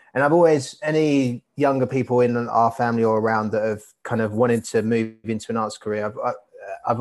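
A man speaks at a medium pitch with a London accent and fairly even intonation. The background is quiet. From east London (Barking, Hainault). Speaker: artist. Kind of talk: casual interview.

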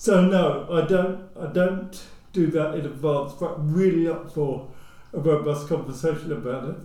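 A man's fairly high voice at a moderate pace, fairly even in intonation, with audible room echo. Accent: southern English. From England, Luton. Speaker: social housing executive. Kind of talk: casual discussion.

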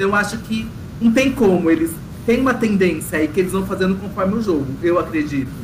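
A man talks at a very fast pace in a high pitch. Audible room echo and noticeable background noise surround him. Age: 30s. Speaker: reality show commentator. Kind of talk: casual chat.

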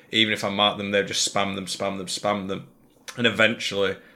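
The man's voice has a bright, sharp tone and a monotone, flat intonation. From England. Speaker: gaming content creator. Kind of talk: casual chat. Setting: video call.

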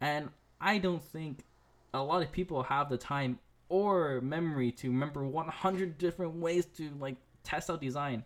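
This man has a plain, everyday voice with a fairly high pitch. He talks at a moderate pace with ordinary pitch variation. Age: 20s. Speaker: podcast host, designer. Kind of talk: solo casual podcast talk.

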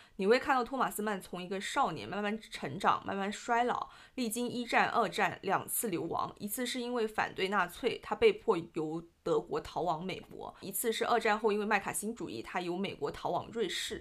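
With a Cantonese accent, a woman speaks at a moderate pace, with hardly any pauses. Her pitch is fairly high for a woman and varies in an ordinary way. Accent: southern (Cantonese-accented) Mandarin. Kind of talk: casual book discussion.

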